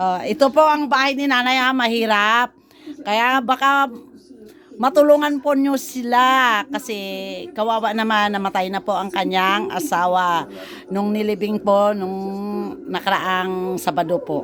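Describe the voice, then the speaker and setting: This is a normal speaking voice with lively intonation. The pace is fairly slow. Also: woman, fairly high pitch for a woman. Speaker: vlogger. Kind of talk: casual vlog narration.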